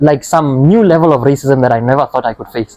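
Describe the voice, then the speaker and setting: A man with a Botswana accent speaks very fast in a dark, mellow tone at a fairly high pitch with ordinary pitch variation. The sound is dry and close, with no echo. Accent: Botswana (Setswana) English. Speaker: podcast host, youth NGO member. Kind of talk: podcast interview. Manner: conversational, with many fillers.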